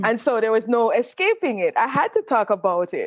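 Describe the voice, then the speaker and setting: In a dry, close recording with no echo, a woman speaks fairly slowly with a strong Jamaican accent. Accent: pronounced Jamaican. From Jamaica, Saint Catherine. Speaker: author and creative writing professor. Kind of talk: interview conversation.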